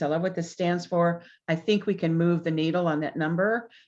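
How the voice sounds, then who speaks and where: Against a quiet background, the speaker has an ordinary speaking voice. The pace is moderate. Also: woman. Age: 60s. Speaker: business consultant. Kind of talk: interview.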